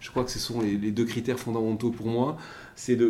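Someone talks at a fairly quick pace in a monotone, flat intonation, with audible room echo. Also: man. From French Basque Country. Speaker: maritime pilot. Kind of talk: interview. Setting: room overlooking the port.

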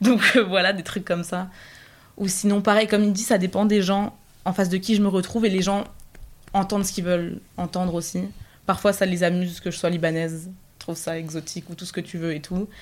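A woman talks at a fairly quick pace with a medium pitch and flat, monotone intonation. She takes long, frequent pauses. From northern France, Picardy. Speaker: university student. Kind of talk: casual chat.

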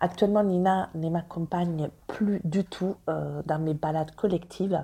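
A woman's fairly low, somewhat breathy, dark and mellow voice with an Italian accent, at a moderate pace with fairly even intonation. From Italy. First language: Italian (speaking French). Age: 30s. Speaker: dog trainer and professional dog walker. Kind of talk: podcast interview.

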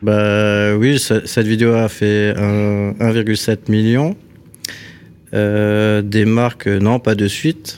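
A man speaks very slowly in a fairly low pitch. His loudness stays very even and his intonation is monotone and flat. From Alsace, France (Strasbourg). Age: 40s. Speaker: carpenter and bodywork craftsman. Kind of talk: casual chat.

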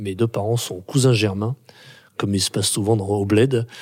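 A man's fairly low voice has a dark, mellow tone and fairly even intonation. The recording is very clean, the background silent. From France, Grenoble. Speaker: playwright and theatre director. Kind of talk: interview. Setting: theatre workshop room. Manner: halting, many repetitions.

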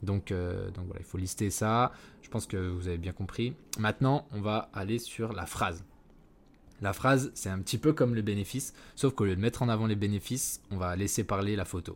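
At a moderate pace, a man speaks in a fairly low pitch with ordinary pitch variation. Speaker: podcast host and ad agency founder. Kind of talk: solo podcast tutorial. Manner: unscripted, with hesitations and stumbling.

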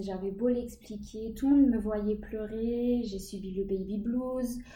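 Against noticeable background noise and audible room echo, a woman with a fairly high pitch speaks at a fairly slow pace with fairly even intonation. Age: 30s. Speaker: stay-at-home mother sharing her pregnancy and postpartum experience. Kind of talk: interview testimony.

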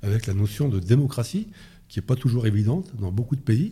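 A man's somewhat breathy, dark, mellow voice with lively intonation, on a very clean recording with a silent background. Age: 60s. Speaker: retired police officer. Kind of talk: interview. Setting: in Paris near the Interior Ministry. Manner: hesitant with fillers.

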